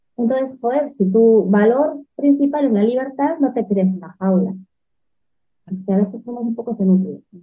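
Music plays behind a woman with a fairly high pitch. She talks at a moderate pace with ordinary pitch variation. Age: 40s. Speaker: entrepreneur. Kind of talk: interview.

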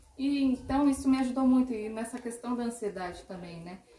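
A woman's high-pitched voice with lively intonation at a moderate pace, against noticeable background noise. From interior of São Paulo state, Brazil. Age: 30s. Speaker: marketing consultant. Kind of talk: podcast interview.

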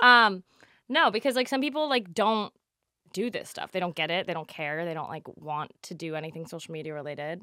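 With an American accent, a woman speaks fairly quickly in a fairly low voice with a bright, sharp tone and very wide pitch swings. The recording is very clean, with a silent background. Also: big swings in loudness. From New Jersey. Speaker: podcast co-host. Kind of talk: casual chat. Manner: animated.

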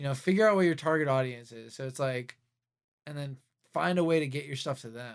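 On a very clean recording with a silent background, a man speaks very fast at a fairly high pitch with ordinary pitch variation. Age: 20s. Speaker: podcast host and music producer. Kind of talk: casual chat. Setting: studio.

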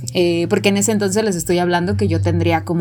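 Through noticeable background noise and audible room echo, a woman with a very deep, low voice makes very wide pitch swings. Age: 20s. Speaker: podcast co-host. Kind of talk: casual chat.

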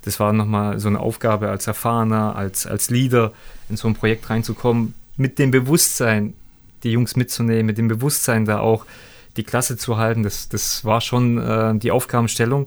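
In a very clean recording with a silent background, a man speaks at a moderate pace with a medium pitch and monotone, flat intonation. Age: 30s. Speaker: former professional footballer. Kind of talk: interview.

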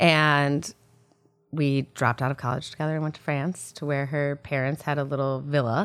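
Over music in the background, a woman with a very deep, low pitch talks at a moderate pace in a Midwestern American accent, her intonation fairly even. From US Midwest (Illinois and Michigan). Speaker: shop owner and fashion designer. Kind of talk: casual interview.

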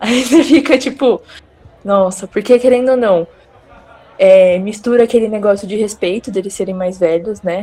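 Against noticeable background noise, a woman with a fairly high pitch and ordinary pitch variation talks at a moderate pace with long, frequent pauses. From interior of São Paulo state, Brazil. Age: 20s. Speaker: nurse. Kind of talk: casual chat.

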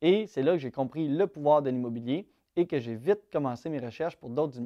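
Dark, mellow, fairly high-pitched speech from a man with a Quebec accent, with ordinary pitch variation, a dry, close sound with no echo, and a quiet background. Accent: Québécois French. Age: 20s. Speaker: YouTuber and real estate investor. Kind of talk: casual vlog monologue.

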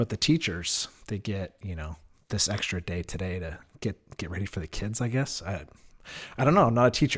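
Somewhat breathy and fairly quick, the speech has lively intonation and big swings in loudness on a very clean recording with a silent background. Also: man, fairly low pitch for a man. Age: 30s. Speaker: podcast host. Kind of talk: casual monologue. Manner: hesitant, many fillers.

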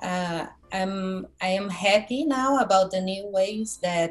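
A woman with a Brazilian accent talks at a medium pitch. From Brazil, Curitiba. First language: Portuguese. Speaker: graphic designer and lettering artist. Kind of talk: casual interview chat. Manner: halting, many fillers.

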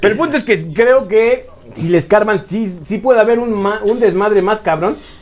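A man's voice is high in pitch, with lively intonation. His speed is moderate. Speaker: podcast co-host. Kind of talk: casual chat.

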